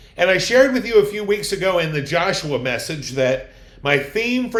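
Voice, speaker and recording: Room echo clearly audible around a man speaking high for his sex, his delivery fairly unhurried. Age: 60s. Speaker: pastor. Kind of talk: sermon.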